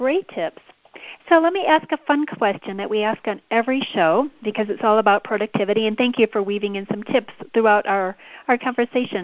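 A woman with a normal speaking voice talks at a fairly quick pace, her pitch fairly high and its variation ordinary. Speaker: podcast host. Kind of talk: interview.

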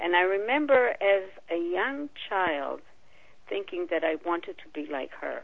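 A woman speaks at a fairly slow pace, her volume rising and falling sharply. Her pitch sits in a medium range but swings very widely. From Israel. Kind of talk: interview.

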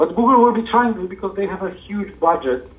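Noticeable background noise under a man talking at a fairly quick pace. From Poland. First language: Polish. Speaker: SEO consultant. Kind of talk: interview.

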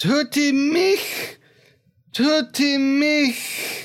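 The pitch is high. It's a put-on character voice. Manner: pleading, eerie.

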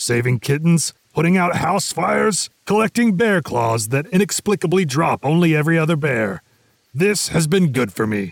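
Putting on a character voice, a man performs. He keeps a moderate pace. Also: fairly high pitch for a man. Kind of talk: comic fantasy audio drama. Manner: grandiose then sheepish and friendly.

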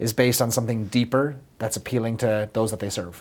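Very fast speech comes from a man in an Irish accent. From Ireland. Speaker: business consultant. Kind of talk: interview.

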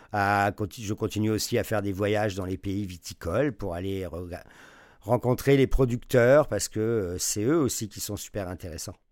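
A man talks at a moderate pace in a fairly low pitch with ordinary pitch variation. It is a plain, everyday voice. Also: very clean recording, silent background. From France. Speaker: wine journalist and sommelier teacher. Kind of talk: interview.

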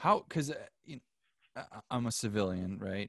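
Against a quiet background, a man speaks with a fairly low pitch and lively intonation in a dry, close sound with no echo. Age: 30s. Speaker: podcast host. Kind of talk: scripted intro; casual interview.

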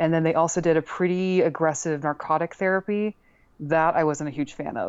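A woman talks at a fairly quick pace in an ordinary speaking voice, fairly low in pitch with fairly even intonation. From US Northeast. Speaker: chronic illness patient. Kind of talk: interview.

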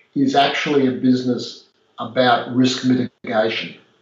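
A man with an Australian accent at medium pitch. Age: 50s. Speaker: property developer. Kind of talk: interview conversation.

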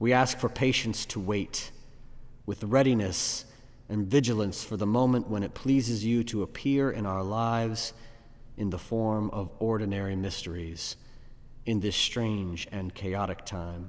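A normal speaking voice from a man, fairly low in pitch, with fairly even intonation. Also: fairly slow pace. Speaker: pastor. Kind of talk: fervent prayer. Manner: earnest, pleading, solemn.

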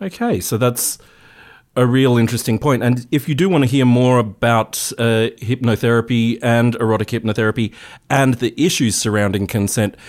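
In a very clean recording with a silent background, a man with an Australian accent speaks at a moderate pace, his medium pitch showing ordinary variation. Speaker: radio host. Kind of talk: radio interview. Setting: radio studio.

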